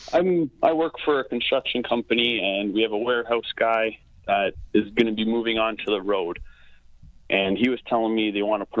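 A man talks at a moderate pace at medium pitch. He has a plain, everyday voice. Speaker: caller. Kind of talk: casual chat. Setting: phone call.

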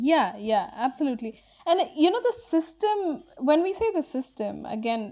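In a very clean recording with a silent background, a woman speaks at a moderate pace with a dark, mellow tone. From India, Bangalore. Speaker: journalist and documentary filmmaker. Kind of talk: interview.

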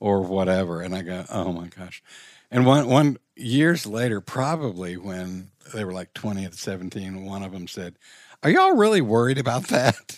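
In an ordinary speaking voice, a man with a fairly low pitch talks with lively intonation and big swings in loudness. The recording is very clean, with a silent background. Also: moderate pace. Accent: American. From Richmond, Virginia. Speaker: counseling nonprofit founder. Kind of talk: casual interview.

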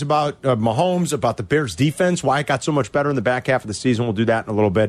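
With a Chicago accent, a man talks at a very fast pace, his pitch swinging very widely. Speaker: sports radio host. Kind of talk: sports talk radio. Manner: casual, conversational.

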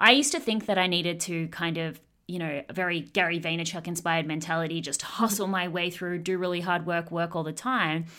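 Fairly low in pitch, a woman speaks in a bright, sharp tone with ordinary pitch variation. She moves at a fairly quick pace with hardly any pauses. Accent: Australian. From Australia. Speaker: online business coach.

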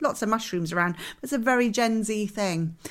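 A woman with a British accent speaks at a moderate pace in a fairly high, bright, sharp voice. The recording is very clean, with a silent background. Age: 40s. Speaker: interiors podcast co-host. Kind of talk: casual chat.

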